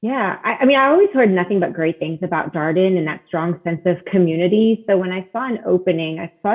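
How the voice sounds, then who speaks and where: With an American accent, a woman talks at a fairly quick pace in a normal speaking voice, her pitch medium for a woman and her pitch variation ordinary. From US South, South Florida. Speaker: admissions director. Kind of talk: podcast interview.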